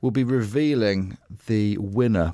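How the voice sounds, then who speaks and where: A man speaks with an English accent on a very clean recording with a silent background. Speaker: podcast host, comedian. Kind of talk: casual chat.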